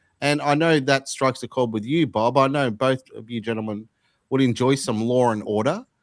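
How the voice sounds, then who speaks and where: Here is a man with an Australian accent at a medium pitch. He speaks at a moderate pace with ordinary pitch variation. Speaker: podcast host. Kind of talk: casual political discussion.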